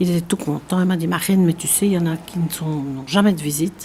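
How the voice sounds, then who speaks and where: Over noticeable background noise, a woman speaks at a fairly quick pace in a fairly low pitch. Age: 70s. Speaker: prison visitor and association president. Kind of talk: testimony.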